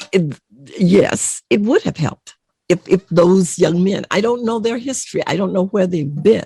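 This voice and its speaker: A woman speaks with vocal fry and lively intonation. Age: 70s. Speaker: retired college educator. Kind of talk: interview conversation. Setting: studio. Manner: emphatic.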